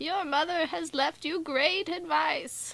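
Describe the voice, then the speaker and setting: A woman's put-on character voice, raspy and extremely high-pitched, at a fairly slow pace with fairly even intonation. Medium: read story. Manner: quiet, solemn.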